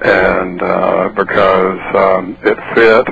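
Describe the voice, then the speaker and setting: Here a man speaks with a Mississippi accent. There is noticeable background noise. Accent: Mississippi Southern US. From US South. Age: 60s. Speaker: novelist and former drug enforcement officer. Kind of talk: radio interview. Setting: phone call. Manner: hesitant with many fillers.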